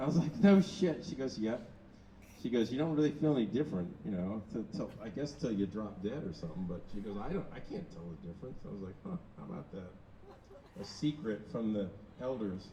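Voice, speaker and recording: The man's voice sits at a medium pitch with very wide pitch swings. He talks at a fairly quick pace. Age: 60s. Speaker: founder of a machine performance art group. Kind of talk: casual chat.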